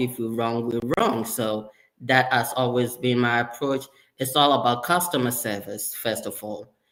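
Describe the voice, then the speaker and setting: A man's medium-pitched voice with a slight Ghanaian accent, fairly slow, with ordinary pitch variation. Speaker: sterile processing leader. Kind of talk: interview.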